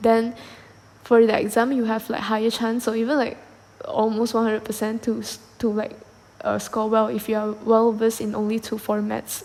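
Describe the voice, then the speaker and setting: The delivery is monotone and flat in intonation. Its tempo is moderate. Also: woman, fairly high pitch for a woman. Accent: Malaysian. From Malaysia. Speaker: podcast host. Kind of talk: solo podcast monologue. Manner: halting, many fillers and repetitions.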